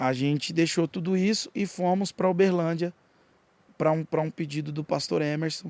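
A man with a normal speaking voice, fairly high in pitch, at a moderate pace with fairly even intonation, in a dry, close sound with no echo. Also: very clean recording, silent background. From Goiás, Brazil (Jataí). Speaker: rapper and pastor. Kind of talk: casual chat.

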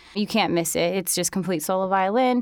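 On a very clean recording with a silent background, a woman with an American accent and an unremarkable speaking voice talks at a medium pitch with ordinary pitch variation. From New York City. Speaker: violinist. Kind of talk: interview.

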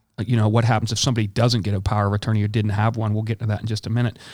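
A man speaks with fairly low pitch and fairly even intonation. The recording is very clean, with a silent background. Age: 50s. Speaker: health insurance agent and podcast host. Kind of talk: casual interview.

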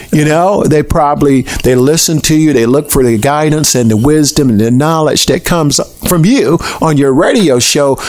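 An American accent at very even loudness, with noticeable background noise. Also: man, fairly high pitch for a man, ordinary pitch variation, moderate pace. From US South, Tallahassee, Florida. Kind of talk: interview, testimony.

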